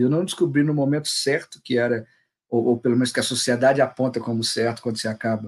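With a quiet background behind him, a man delivers his words fairly quickly. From Minas Gerais, Brazil (Juiz de Fora). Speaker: documentary filmmaker. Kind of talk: interview. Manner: halting, many repeated words.

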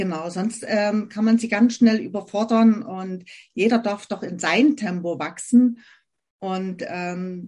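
Somewhat breathy, a woman speaks slowly-ish at a fairly slow pace with medium pitch and ordinary pitch variation. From Germany, Saxony near Dresden. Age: 50s. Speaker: essential oils consultant. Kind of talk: interview.

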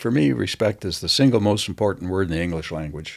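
A man's voice swings very widely in pitch and carries vocal fry. The recording is very clean, with a silent background. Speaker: veteran real estate agent. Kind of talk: interview conversation.

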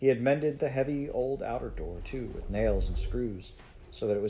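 A reading voice that sounds unforced

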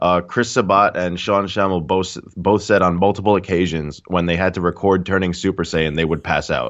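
A man speaks at a moderate pace with a slight New York accent. His pitch is very deep and low, his intonation fairly even. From Queens, New York. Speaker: gamer and streamer. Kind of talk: casual chat.

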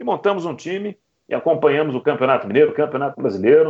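This man's fairly high voice carries lively intonation and vocal fry. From Belo Horizonte, Minas Gerais, Brazil. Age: 30s. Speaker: radio football commentator. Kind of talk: interview. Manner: emotional, shouting goal calls.

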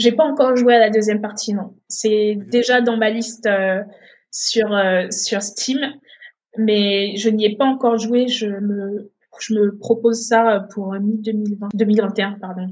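Somewhat breathy and fairly high-pitched, a woman speaks at a very slow pace in a monotone, flat manner. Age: 20s. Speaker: streamer and gaming association founder. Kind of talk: casual interview. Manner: halting, many fillers.

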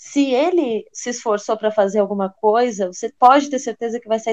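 Her high pitch and lively intonation unfold at a moderate pace. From Brazil, Rio Grande do Sul. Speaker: French teacher, podcast co-host. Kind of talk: casual chat.

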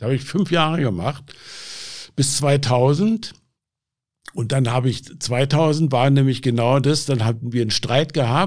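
A man speaks with a Berlin accent at a moderate pace. His pitch is medium. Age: 70s. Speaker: addiction self-help group leader. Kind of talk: interview, personal testimony.

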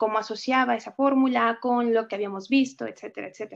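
A woman with a Mexican accent, her intonation fairly even, against a quiet background. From Mexico. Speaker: poet and writer, teacher. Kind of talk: interview answers, with a poem reading. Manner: reflective, with frequent filler words.

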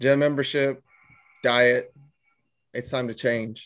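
This man talks at a very slow pace and a medium pitch. His intonation is monotone and flat. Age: 20s. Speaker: podcast co-host, father. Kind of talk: casual chat.

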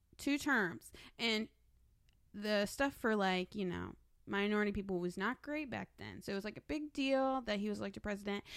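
A woman with a normal speaking voice and medium pitch talks at a moderate pace on a very clean recording with a silent background. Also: ordinary pitch variation. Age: 20s. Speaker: host's sister. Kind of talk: casual chat.

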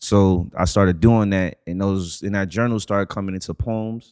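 A man's fairly low voice with a slight New York accent and fairly even intonation, in a very clean recording with a silent background. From the Bronx, New York. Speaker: podcast guest. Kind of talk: casual chat.

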